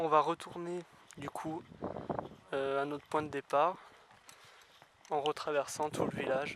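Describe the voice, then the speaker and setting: A man's fairly high voice, fairly slow and monotone, with long, frequent pauses and big swings in loudness. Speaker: urban explorer vlogger. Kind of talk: walkthrough vlog narration.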